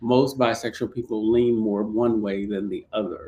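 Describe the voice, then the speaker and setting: This man has a plain, everyday voice at a medium pitch. He speaks at a moderate pace with ordinary pitch variation. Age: 50s. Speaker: online talk show host. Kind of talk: interview.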